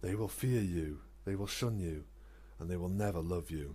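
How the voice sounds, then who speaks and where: A put-on character voice goes sing-song at a moderate pace. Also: man, very deep, low pitch for a man. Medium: read story. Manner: mocking, sing-song.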